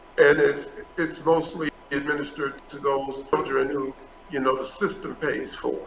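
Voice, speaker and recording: Noticeable background noise behind a man's fairly slow delivery. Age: 60s. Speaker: pastor. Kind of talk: interview.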